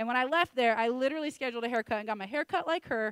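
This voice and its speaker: Lively intonation rides a very fast pace, with a dry, close sound and no echo. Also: woman. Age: 30s. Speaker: preacher. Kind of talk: sermon. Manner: loud.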